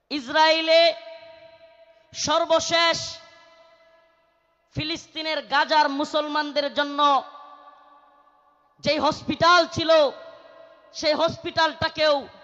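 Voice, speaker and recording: A man speaks in a raised, projected voice at an extremely high pitch. His intonation is monotone and flat. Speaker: Islamic preacher. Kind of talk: religious sermon at a public gathering. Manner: loud, forceful, impassioned.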